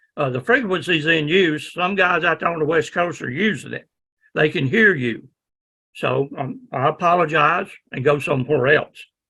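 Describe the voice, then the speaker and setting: A loud man with a Southern US accent talks at a moderate pace. His fairly high voice has a bright, sharp tone and ordinary pitch variation. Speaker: ham radio instructor. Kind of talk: lecture.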